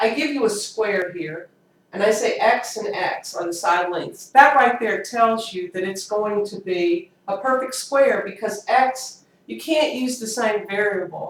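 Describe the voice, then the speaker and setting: Lively in intonation, a woman with a fairly high pitch talks at a fairly slow pace. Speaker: middle school math teacher. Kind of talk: lecture. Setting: home at night, quiet. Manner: casual.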